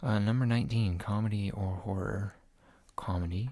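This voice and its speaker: A soft-spoken man talks in a fairly low, somewhat breathy voice with a dark, mellow tone. His intonation is fairly even, and the recording is very clean, with a silent background. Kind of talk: casual talk to camera; survey answers read aloud.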